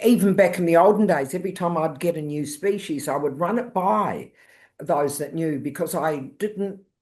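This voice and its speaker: With a New Zealand accent, a woman talks at a moderate pace in a fairly low voice with ordinary pitch variation against a quiet background. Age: 70s. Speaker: wildlife carer. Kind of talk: interview.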